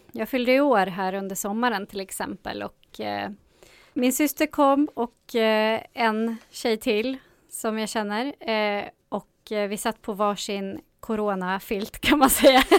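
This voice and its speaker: A woman's normal speaking voice, fairly high in pitch with ordinary pitch variation, at a fairly slow pace, in a very clean, silent-background recording with a dry, close sound and no echo. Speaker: radio co-host and youth radio supervisor. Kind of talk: casual radio chat. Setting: radio studio.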